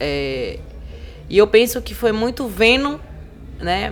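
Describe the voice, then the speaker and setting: A woman's voice amid noticeable background noise. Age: 30s. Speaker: cultural producer and activist. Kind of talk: podcast interview. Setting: live podcast recording at a literary festival. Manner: animated.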